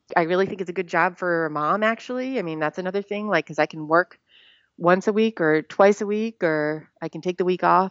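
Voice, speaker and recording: A woman with an American accent talks in an ordinary speaking voice at a medium pitch, with ordinary pitch variation and a fairly quick pace. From Rhode Island, US. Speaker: stuntwoman. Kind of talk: interview. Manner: casual, conversational.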